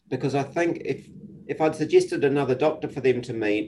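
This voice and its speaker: A somewhat breathy man's voice, medium in pitch, with a New Zealand accent. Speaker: psychiatrist. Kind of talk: casual interview. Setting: video call.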